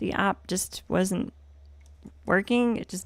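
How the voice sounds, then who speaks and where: A woman speaks in a bright, sharp tone with fairly even intonation. The recording is very clean, with a silent background. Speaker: gaming livestreamer. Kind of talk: casual gaming livestream commentary. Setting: livestream.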